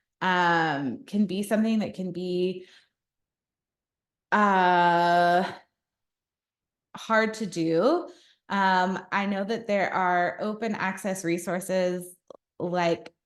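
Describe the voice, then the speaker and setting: Amid audible room echo, a woman speaks very slowly with long, frequent pauses and fairly even intonation. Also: medium pitch for a woman. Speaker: social work researcher and presenter. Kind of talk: continuing education lecture.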